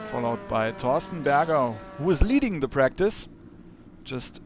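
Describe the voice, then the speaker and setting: This man has a fairly high voice with lively intonation. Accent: German. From Germany. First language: German. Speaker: sim racing commentator. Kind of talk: live commentary. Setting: live broadcast. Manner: halting, with fillers.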